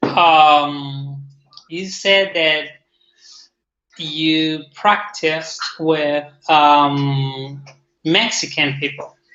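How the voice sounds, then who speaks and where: In an Argentine accent, a man with a fairly high pitch talks at a very slow pace with fairly even intonation and long, frequent pauses. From Argentina. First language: Spanish. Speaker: testing engineer. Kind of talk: casual chat.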